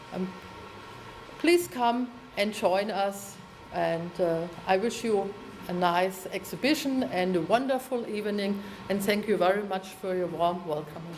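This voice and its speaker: A woman with a German accent speaks at a fairly slow pace with long, frequent pauses, her medium pitch showing ordinary variation, against audible room echo and noticeable background noise. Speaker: mayor of twin town. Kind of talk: formal ceremonial speech. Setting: town hall reception with audience. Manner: halting.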